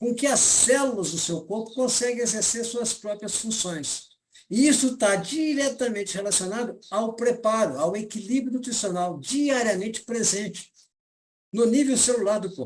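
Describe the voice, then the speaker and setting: The man's high-pitched voice has lively intonation and a moderate pace. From Brazil, Belo Horizonte. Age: 70s. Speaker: nutrition lecturer and seller. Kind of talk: lecture. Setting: live stream.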